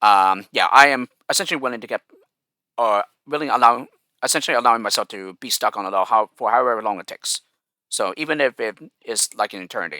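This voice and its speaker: A man's very fast, medium-pitched voice with a bright, sharp tone, ordinary pitch variation, big swings in loudness, and a dry, close sound with no echo. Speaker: gaming YouTuber. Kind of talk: casual Q&A monologue. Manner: hesitant, many fillers.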